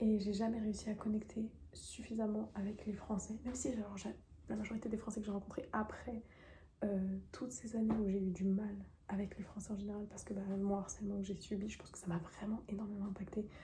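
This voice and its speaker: A woman's medium-pitched voice, monotone and flat, at a fairly quick pace amid noticeable background noise. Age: 20s. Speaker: YouTuber. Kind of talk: personal vlog confession. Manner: fast; hesitant, many fillers.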